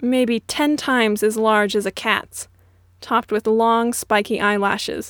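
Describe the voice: Plain reading aloud is heard here, the intonation staying fairly even.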